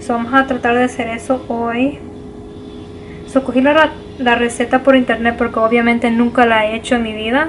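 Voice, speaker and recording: A woman with a non-native accent speaks in a high voice at a moderate pace. Her intonation is monotone and flat, with light background noise. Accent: non-native Spanish, self-described imperfect. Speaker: vlogger. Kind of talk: casual cooking vlog, code-switching Spanish and English. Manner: halting, searching for words in Spanish. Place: home room. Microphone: phone near.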